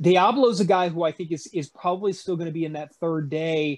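The man has an unremarkable speaking voice. He moves at a fairly quick pace with ordinary pitch variation. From Virginia (born in Louisiana). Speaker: local TV sports journalist. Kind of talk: casual sports chat.

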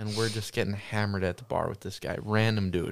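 In a very clean recording with a silent background, a man speaks at a moderate pace in a fairly low, flat monotone. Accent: American. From Wisconsin. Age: 20s. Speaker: guest, hunter. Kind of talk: casual chat. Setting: studio.

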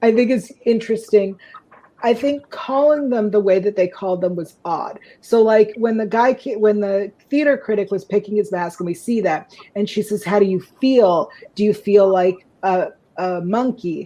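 At a moderate pace, a woman talks in a medium pitch with a dark, mellow tone and ordinary pitch variation. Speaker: podcast co-host. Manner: relaxed, chatty, frequent filler ums.

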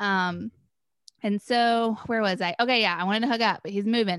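A woman with an American accent uses a plain, everyday voice at a fairly high pitch, talking fairly quickly with fairly even intonation in a dry, close sound with no echo on a very clean recording with a silent background. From North Carolina (Chapel Hill). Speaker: podcast guest. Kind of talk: casual chat.

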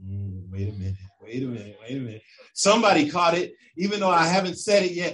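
The man's high voice swings very widely in pitch. His tone is animated. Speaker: preacher. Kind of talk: sermon. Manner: animated, full-flow preaching with building emphasis.

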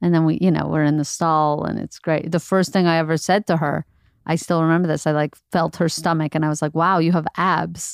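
At a fairly quick pace, a woman speaks in a very deep, low, monotone and flat voice, on a very clean recording with a silent background and a dry, close sound with no echo. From Montreal, Canada. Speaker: comedian. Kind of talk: casual chat.

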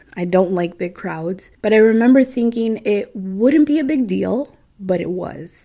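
Her dark, mellow tone carries as the woman speaks at a moderate pace. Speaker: podcast host. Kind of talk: storytelling podcast monologue. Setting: home recording at night. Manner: casual, chatty.

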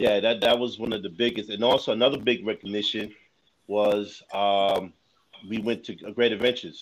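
With a New York accent, a man speaks at a moderate pace with a fairly low pitch. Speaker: podcaster. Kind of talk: casual chat.

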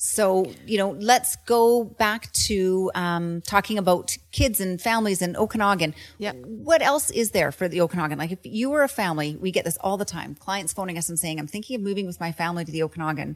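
With a Western Canadian accent, a woman talks at a fairly quick pace. Her intonation is lively, with hardly any pauses. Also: medium pitch for a woman. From Canada, Kelowna, British Columbia. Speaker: real estate agent, podcast co-host. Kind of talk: casual chat.

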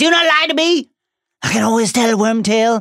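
In a put-on character voice, the speaker talks at a fairly quick pace with a fairly high pitch. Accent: Southern US. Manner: menacing, accusatory.

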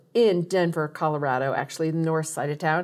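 The voice of a woman comes through in a very clean recording with a silent background. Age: 60s. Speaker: podcast host. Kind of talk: casual interview; scripted intro and outro. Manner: enthusiastic.

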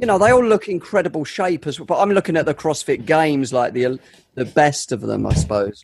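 A man with a South London accent and a fairly high pitch talks at a fairly quick pace, his voice making very wide pitch swings. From south-east London. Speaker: podcast co-host. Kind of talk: casual chat.

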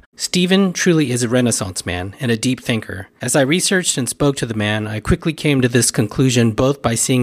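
A man with medium pitch and an unremarkable speaking voice at a fairly quick pace. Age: 50s. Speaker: podcast host. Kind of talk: interview; scripted introduction.

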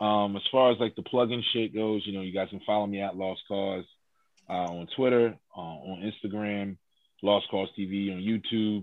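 An ordinary speaking voice with an American accent moves at a moderate pace in fairly even intonation. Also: man, fairly low pitch for a man. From West Philadelphia. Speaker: rapper. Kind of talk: casual chat.

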